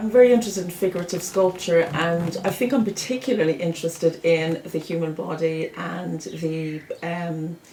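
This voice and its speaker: A woman with an Irish accent talks at a fairly low pitch and moderate pace, with hardly any pauses and ordinary pitch variation. Noticeable background noise is present. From Ireland, Dublin. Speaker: sculptor. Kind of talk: personal interview narration. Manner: halting, with fillers.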